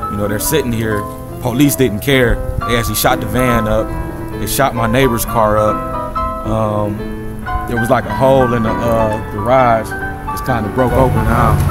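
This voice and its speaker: Over loud background music, a man talks at a moderate pace with long, frequent pauses, the sound dry with no echo. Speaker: witness. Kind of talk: interview answer. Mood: serious, troubled. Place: garden. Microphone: phone near.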